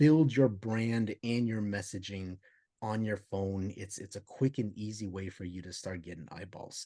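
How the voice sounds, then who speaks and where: A man with a dark, mellow tone and fairly low pitch speaks at a moderate pace with ordinary pitch variation. His loudness swings a lot against a quiet background. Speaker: podcast co-host. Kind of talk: casual podcast chat. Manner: repetitive stammering.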